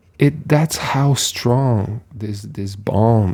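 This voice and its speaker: A man speaks with ordinary pitch variation. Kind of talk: casual rambling monologue to camera. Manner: rambling, hesitant, repeats words, conversational.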